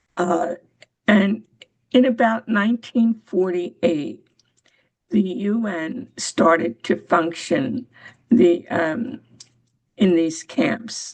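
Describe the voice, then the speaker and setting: Somewhat breathy, a woman with an American accent speaks at a very slow pace with long, frequent pauses. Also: medium pitch for a woman. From US, Pennsylvania. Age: 80s+. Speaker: retired women's rights volunteer. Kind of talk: personal testimony on a member call. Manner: halting.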